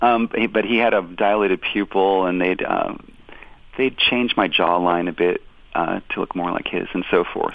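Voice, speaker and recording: A man with a normal speaking voice talks at a moderate pace, his fairly low pitch carried by fairly even intonation. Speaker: tribute musician and former touring guitarist. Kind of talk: casual interview. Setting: phone call. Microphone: phone line.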